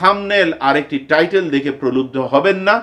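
His voice sits high in pitch. This man's pitch moves in an ordinary way. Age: 50s. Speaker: YouTuber and teacher; YouTuber, teacher. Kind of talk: vlog monologue. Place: home room.

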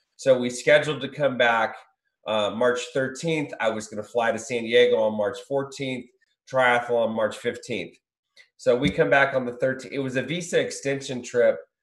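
In an American accent, a man speaks at a moderate pace with fairly even intonation, with audible room echo against a quiet background. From Southern California. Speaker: recovery business founder. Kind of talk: interview. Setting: video call. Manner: halting, repetitive. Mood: reflective storytelling. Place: home room. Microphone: video call.

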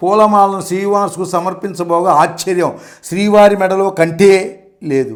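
Natural-sounding reading aloud, its intonation fairly even

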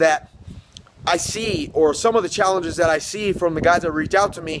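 Noticeable background noise sits behind a man's voice. He speaks at a fairly quick pace with a high pitch and ordinary pitch variation. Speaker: business coach. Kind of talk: motivational vlog talk. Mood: earnest, firm. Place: beach. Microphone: phone near.

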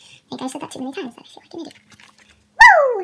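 With light background noise behind her, a woman speaks in a raised, projected voice at a very fast pace, upbeat in tone, her high pitch making very wide swings. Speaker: fan unboxing merchandise. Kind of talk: casual unboxing talk to camera. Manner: upbeat, chatty. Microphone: phone near.

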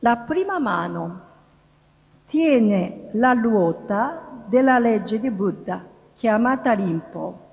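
Over a quiet background, a woman with a Japanese accent speaks at a very slow pace with long, frequent pauses. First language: Japanese (speaking Italian). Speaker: interfaith dialogue promoter. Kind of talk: lecture. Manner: halting. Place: hall. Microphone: podium.

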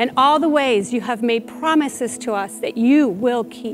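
Over clear music in the background, a woman with a high pitch speaks at a moderate pace with fairly even intonation. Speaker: teaching pastor. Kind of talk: prayer. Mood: calm, earnest, prayerful. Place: church. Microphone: lapel.

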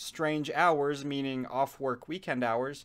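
A moderately paced male voice. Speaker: commentary video maker. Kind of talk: commentary. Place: home room. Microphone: phone near.

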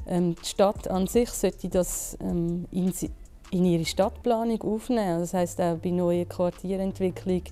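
Music plays in the background. A woman speaks at a fairly slow pace with fairly even intonation. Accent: Zurich. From Zurich, Switzerland. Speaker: business economist, co-founder of a material market. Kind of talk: interview answer. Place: factory. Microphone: lapel.

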